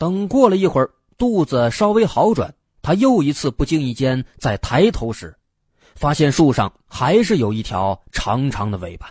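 A somewhat breathy man speaks fairly slowly with very wide pitch swings in a very clean, dry, close recording with a silent background and no echo. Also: fairly high pitch for a man. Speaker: storytelling podcast narrator. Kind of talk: true-crime mystery narration, scripted storytelling. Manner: measured, steady storyteller pace, suspenseful and hushed, building intrigue; clear and formal, with chatty fillers like "呢" and a Mandarin storyteller's rhythm.

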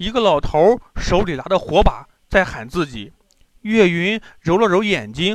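The background stays quiet. Against it, someone reads aloud in a natural voice with ordinary pitch variation.

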